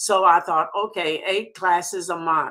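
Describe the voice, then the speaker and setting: Her voice is bright and sharp, with a fairly low pitch and a Southern US accent. This woman speaks at a moderate pace. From US South. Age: 80s+. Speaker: sales director. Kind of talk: interview.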